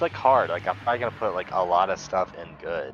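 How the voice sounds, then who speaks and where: A man speaks at a moderate pace while music plays in the background. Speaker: kaiju movie streamer. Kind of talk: live stream casual chat.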